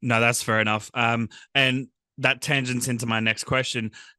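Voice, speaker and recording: Against a quiet background, a man with an Australian accent and a bright, sharp tone speaks at a fairly quick pace, holding a medium pitch and fairly even intonation. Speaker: podcast host. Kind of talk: interview. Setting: video call.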